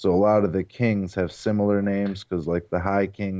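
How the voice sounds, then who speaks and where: Here a man talks at a moderate pace with a Midwestern American accent. His very deep, low voice stays monotone and flat. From US Midwest, Ohio (Cleveland area). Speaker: novelist and podcast host. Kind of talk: interview.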